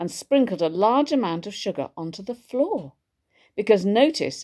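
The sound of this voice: An unforced reading voice with lively intonation sits over a quiet background.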